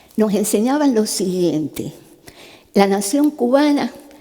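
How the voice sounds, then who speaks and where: There is noticeable background noise behind this woman. She speaks at a fairly slow pace with a fairly high pitch. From Cuba. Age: 70s. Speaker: neurosurgeon giving a talk. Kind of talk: testimony talk. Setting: stage with audience. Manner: conversational.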